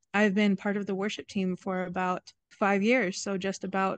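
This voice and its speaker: Recorded with a dry sound and no echo, a woman with an American accent speaks at a moderate pace in monotone, flat intonation. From Seattle, Washington; Washington. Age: young. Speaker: church worship musician and lab technician; guest. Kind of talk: interview. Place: forest. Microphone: video call.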